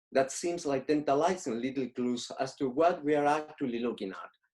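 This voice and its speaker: A man with a Spanish accent speaks at a moderate pace and a fairly high pitch, his tone dark and mellow. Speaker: painter and art teacher. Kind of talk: lecture.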